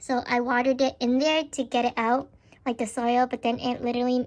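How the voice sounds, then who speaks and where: The speaker keeps a moderate pace with monotone, flat intonation. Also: woman. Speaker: vlogger. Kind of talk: casual vlog talk.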